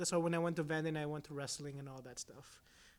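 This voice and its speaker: The speaker is a man. He has a Filipino accent. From Philippines. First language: Filipino languages. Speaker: entrepreneur. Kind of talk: casual chat.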